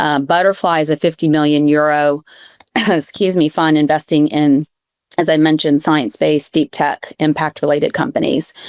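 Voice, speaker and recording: With an American accent, a woman speaks at a very deep, low pitch and moderate pace, her intonation fairly even and loudness very even, in a dry, close sound with no echo. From US, New York. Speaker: venture capital investor. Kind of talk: panel discussion. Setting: live event panel.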